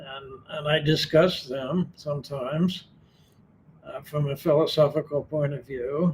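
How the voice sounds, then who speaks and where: A man with a fairly high pitch speaks at a fairly slow pace with monotone, flat intonation and big swings in loudness. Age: 80s+. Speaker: retired philosophy professor. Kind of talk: interview. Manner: halting, many fillers.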